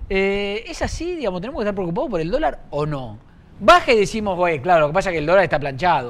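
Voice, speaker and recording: Speaking at a very fast pace, a man uses a high pitch with very wide pitch swings. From Argentina, Buenos Aires west (Castelar, Morón). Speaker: TV news show host. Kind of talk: TV interview. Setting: studio. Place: studio. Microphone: lapel.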